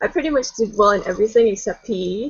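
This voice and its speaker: Here a woman talks at a moderate pace. Her pitch is fairly high. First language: multilingual: English, Spanish, Danish. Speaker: artist, book contributor. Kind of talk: casual interview conversation.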